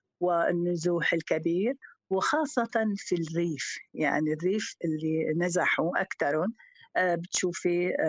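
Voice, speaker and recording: At a very slow pace, a woman talks in a fairly low pitch with ordinary pitch variation and very even loudness. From Syria. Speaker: teacher. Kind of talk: casual chat.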